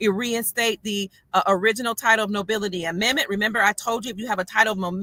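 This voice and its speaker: In a dry, close sound with no echo, a woman talks very fast at a medium pitch, her tone bright and sharp and her intonation fairly even. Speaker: online commentator. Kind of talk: casual livestream talk answering questions. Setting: in a parked car.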